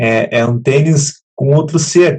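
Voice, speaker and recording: At a very slow pace, a man speaks in a somewhat breathy, fairly high voice with ordinary pitch variation. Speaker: program host. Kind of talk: live talk show hosting. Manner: relaxed, conversational.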